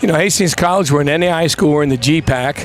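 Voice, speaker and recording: A man speaks over noticeable background noise. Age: 60s. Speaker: college football coach. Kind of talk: live sports broadcast interview.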